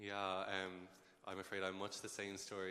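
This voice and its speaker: A man with a western Irish accent speaks at a very deep, low pitch in a bright, sharp tone, with monotone, flat intonation. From Ireland, Galway. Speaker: medical student, panelist. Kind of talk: panel discussion.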